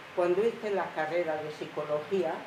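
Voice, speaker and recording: Amid noticeable background noise and audible room echo, a woman speaks with a fairly low pitch and ordinary pitch variation. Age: 80s+. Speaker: retired teacher and psychologist. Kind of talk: interview.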